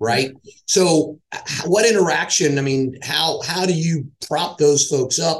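Somewhat breathy, a man speaks at a moderate pace. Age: middle-aged. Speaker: podcast host and sales executive. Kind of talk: casual interview; scripted intro. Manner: halting, with fillers.

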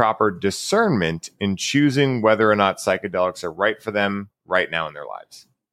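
This man has an ordinary speaking voice, fairly low in pitch, with lively intonation at a moderate pace. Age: 30s. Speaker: podcast host. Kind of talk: casual interview. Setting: remote video call.

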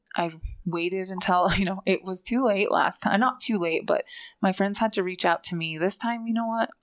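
A woman speaks in an ordinary speaking voice at medium pitch, with ordinary pitch variation. The recording is very clean, with a silent background. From Fort Belknap reservation, Montana. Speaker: maternal health researcher, PhD student. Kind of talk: personal testimony in interview.

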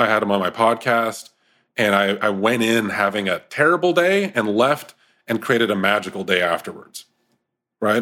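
A man with a Canadian accent talks at a fairly quick pace, with a fairly low pitch and ordinary pitch variation. He has a plain, everyday voice, on a very clean recording with a silent background. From Ontario, Canada. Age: 30s. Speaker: men's group co-founder. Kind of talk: casual interview chat.

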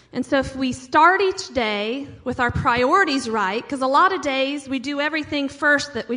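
In an American accent, a woman projects a raised voice with a bright, sharp tone, high pitch and lively intonation. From US Midwest, small town. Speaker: pastor. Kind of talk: sermon.

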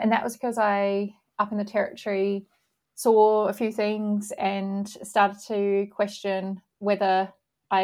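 A woman's medium-pitched voice with an Australian accent, in a very clean recording with a silent background. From Australia, rural outside Sydney. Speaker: magazine publisher and editor. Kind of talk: interview conversation.

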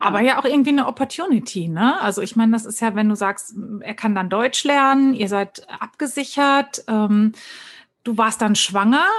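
Ordinary pitch variation comes through a somewhat breathy voice. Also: woman, fairly high pitch for a woman, moderate pace. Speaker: podcast host. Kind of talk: casual chat.

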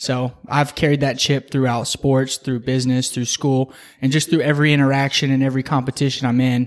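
A man with an American accent speaks at a medium pitch in a monotone, flat intonation. The recording is very clean, with a silent background. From Texas. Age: 20s. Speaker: realtor and real estate investor. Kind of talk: interview.

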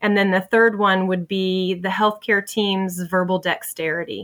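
A woman with an American accent has a plain, everyday voice at medium pitch. She speaks at a moderate pace with fairly even intonation on a very clean recording with a silent background. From southeastern US. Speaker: flight nurse and podcaster. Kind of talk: casual interview.

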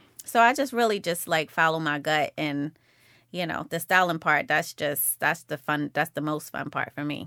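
Recorded dry and close with no echo, a woman speaks at a fairly low pitch with a bright, sharp tone. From Baltimore, Jamaican household. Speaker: boutique owner. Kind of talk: casual interview chat. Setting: studio.

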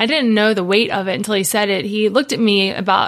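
A woman speaks with an Ohio accent. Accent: Midwestern US (Ohio). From Ohio, Cincinnati. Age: 30s. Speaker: worship pastor. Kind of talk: casual interview chat.

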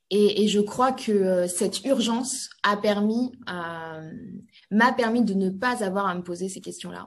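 At a very slow pace, a woman speaks with a medium pitch, ordinary pitch variation and big swings in loudness. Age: 30s. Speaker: industrial company CEO. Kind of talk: interview.

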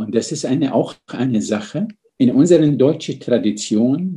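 A man with an Arabic accent, dark and mellow in tone, lively intonation at a moderate pace. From Syria, Damascus. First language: Arabic (speaking German). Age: 60s. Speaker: physician and medical ethicist. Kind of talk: interview.

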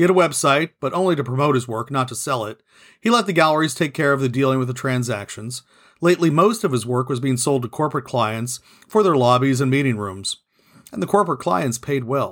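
A man with a normal speaking voice, medium in pitch, talks at a fairly quick pace with lively intonation in a very clean recording with a silent background. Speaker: podcast host, author and narrator. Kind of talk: audiobook-style reading of a novel, with intro and outro. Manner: steady, even narrator's pace, with light character voicing in dialogue.

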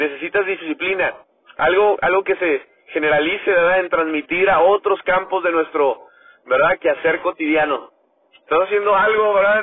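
His pitch high, a man speaks at a moderate pace with ordinary pitch variation and very even loudness. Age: 30s. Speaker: motivational podcaster. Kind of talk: motivational monologue. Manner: animated.

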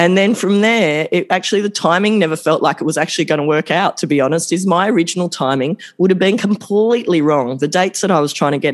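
High in pitch, a man talks at a very fast pace with ordinary pitch variation. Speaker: chiropractor. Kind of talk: casual monologue to camera. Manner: halting, with fillers and restarts.

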